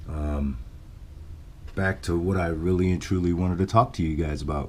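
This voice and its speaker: The voice has ordinary pitch variation. Audible room echo can be heard. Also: man. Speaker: RC hobby YouTuber. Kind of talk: casual vlog. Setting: home garage.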